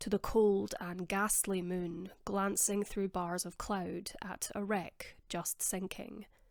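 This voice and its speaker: At a very slow pace, a woman speaks at a medium pitch in a monotone, flat intonation on a very clean recording with a silent background. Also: hardly any pauses. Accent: Scottish. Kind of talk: audiobook reading. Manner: soft-spoken.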